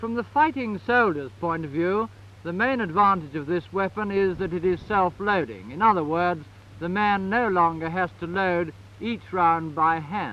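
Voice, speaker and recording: A man talks in a high pitch at a moderate pace. His tone is bright and sharp, with ordinary pitch variation. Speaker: army officer giving a rifle briefing. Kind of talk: newsreel briefing on military equipment. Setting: archival 1954 film recording.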